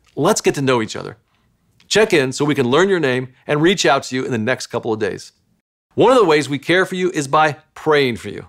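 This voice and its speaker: Lively intonation carries a man's fairly quick speech. Around him, the background is quiet. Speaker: church pastor. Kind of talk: welcome announcement. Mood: warm, welcoming. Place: studio.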